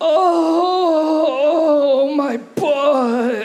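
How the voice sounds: The voice is a put-on character voice. Its pitch is high.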